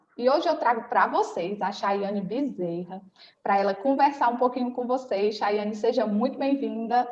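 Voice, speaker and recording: A woman has a plain, everyday voice, fairly high in pitch, at a moderate pace. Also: ordinary pitch variation. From Ceará, Brazil. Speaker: podcast host, nursing consultancy teacher. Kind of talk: interview podcast.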